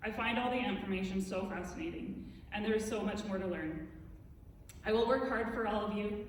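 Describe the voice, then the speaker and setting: Spoken with a Canadian accent and fairly even intonation, this voice carries over noticeable background noise and audible room echo. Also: woman. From western Canada (Creston, British Columbia). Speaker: council candidate, small business owner. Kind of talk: prepared campaign speech. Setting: stage with audience in a theatre.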